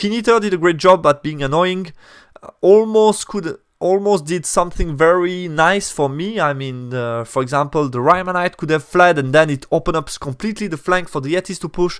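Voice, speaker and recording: A man with a non-native accent speaks in a high voice at a fairly quick pace with ordinary pitch variation. The recording is very clean, with a silent background. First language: not English. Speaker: tabletop wargaming youtuber. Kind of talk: battle report commentary. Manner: hesitant, many fillers and self-corrections.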